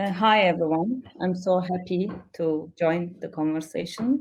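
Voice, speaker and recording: A woman speaks at a fairly slow pace with a Kurdish accent, her pitch in the medium range. Her voice is somewhat breathy, with ordinary pitch variation. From Turkey, Kurdish region. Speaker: poet. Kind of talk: panel discussion.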